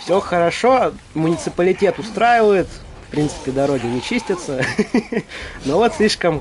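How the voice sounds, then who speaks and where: A man speaks fairly slowly in a high voice, his pitch swinging very widely. Music plays in the background. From northern Russia, Arkhangelsk. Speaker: gaming streamer. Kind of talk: casual gameplay commentary. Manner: casual, conversational.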